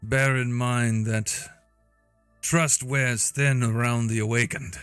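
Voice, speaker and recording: Over faint background music, a man puts on a character voice at medium pitch, speaking at a fairly slow pace with fairly even intonation. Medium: actual play. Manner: cold, measured, formal.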